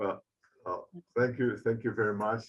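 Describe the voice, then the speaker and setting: Using monotone, flat intonation, a man talks at a medium pitch. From Poland. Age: 70s. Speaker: artist and retired professor. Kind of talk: Q&A at end of online lecture. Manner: halting, many fillers.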